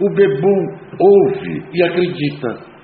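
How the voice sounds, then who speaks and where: There is audible room echo and noticeable background noise. A man speaks with ordinary pitch variation. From Brazil. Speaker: recovering alcoholic sharing a talk. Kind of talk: talk at an AA meeting. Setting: meeting room.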